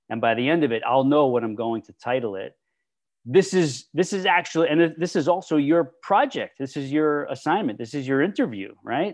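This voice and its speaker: Loud and enthusiastic, a man talks at a fairly quick pace with lively, animated intonation. His pitch is fairly high for a man, and the background is quiet. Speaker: fitness podcast host. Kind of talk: casual interview chat with his niece. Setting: video call. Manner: enthusiastic, animated, trying to tone it down.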